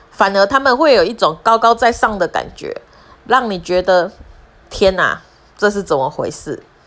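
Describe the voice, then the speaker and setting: Lively intonation in a Taiwanese accent, at a moderate pace with long, frequent pauses. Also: woman, medium pitch for a woman. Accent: Taiwanese Mandarin. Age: 40s. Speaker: podcaster. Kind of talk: personal monologue.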